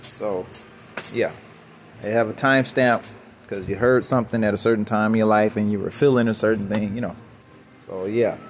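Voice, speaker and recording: A man speaks at a moderate pace with a fairly low pitch and flat, monotone intonation. Long, frequent pauses break up his speech while music plays in the background. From Chicago, US. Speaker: independent musician and podcaster. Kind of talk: solo monologue, casual rant. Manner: rambling, conversational.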